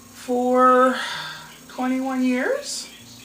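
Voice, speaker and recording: A woman speaks with noticeable background noise behind her. Room echo can be heard. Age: 60s. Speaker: fundraising appeal vlogger. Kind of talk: personal appeal monologue.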